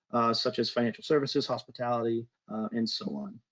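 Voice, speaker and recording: A man in an American accent, with ordinary pitch variation. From Boston, US. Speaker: solutions engineer presenting a webinar. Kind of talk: webinar presentation.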